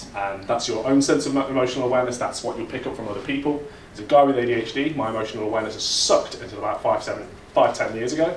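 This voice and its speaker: Very fast and with an East Midlands accent, a man talks at a medium pitch with ordinary pitch variation, amid noticeable background noise and audible room echo. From England, Leicester. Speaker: conference speaker, data engineering leader. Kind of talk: conference talk. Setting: stage with audience. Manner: casual, animated.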